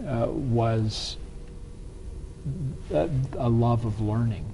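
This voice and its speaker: Over noticeable background noise, a man with an American accent and medium pitch speaks at a very slow pace. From US South. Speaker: business strategist. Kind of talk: interview.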